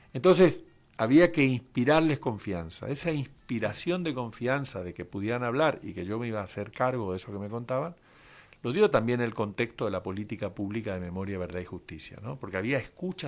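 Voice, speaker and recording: In a very clean recording with a silent background, a man speaks at a moderate pace, his loudness swinging widely and his pitch swinging very widely. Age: 60s. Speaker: human rights lawyer, author. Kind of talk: radio interview. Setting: radio studio.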